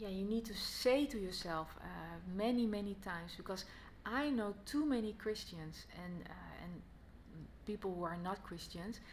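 In a Dutch accent, a woman reads at a fairly slow pace with a medium pitch, ordinary pitch variation and a somewhat breathy voice, over light background noise. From Netherlands. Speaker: Bible teacher. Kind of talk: gospel teaching talk to camera. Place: home room. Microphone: phone near.

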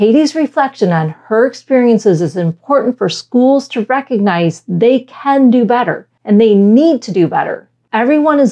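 Speaking in an American accent at a moderate pace with hardly any pauses, a woman with a fairly high pitch and a dark, mellow tone uses lively intonation over a quiet background. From Michigan, US. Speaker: science educator. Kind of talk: scripted narration. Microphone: lapel.

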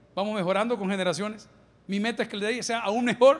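At a very fast pace, a man with a high pitch speaks using fairly even intonation. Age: 50s. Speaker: pastor. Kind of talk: sermon. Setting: church. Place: church. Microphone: handheld.

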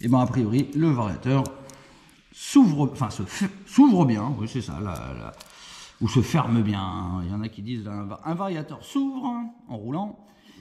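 A man speaks at a fairly slow pace with long, frequent pauses. His intonation is lively and his loudness swings widely. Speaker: moped tuning youtuber and shop owner. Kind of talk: casual vlog, technical testing. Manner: playful, plays with his voice. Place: garage. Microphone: phone near.

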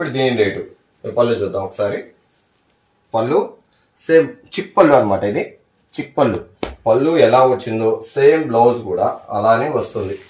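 The room echo is audible around this man. His voice is somewhat breathy. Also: ordinary pitch variation. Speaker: shop seller. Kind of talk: sales product presentation. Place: shop.

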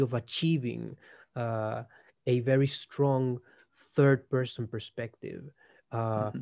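Speech comes at a very slow pace in a Spanish accent. The background is quiet. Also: man. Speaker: philosophy researcher. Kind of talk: casual conversation, interview. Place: home room. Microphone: video call.

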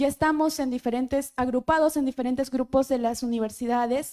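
Against a quiet background, a woman speaks in a high pitch. Her tone is dark and mellow. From Peru. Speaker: university student. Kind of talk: prepared speech. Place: hall. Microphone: handheld.

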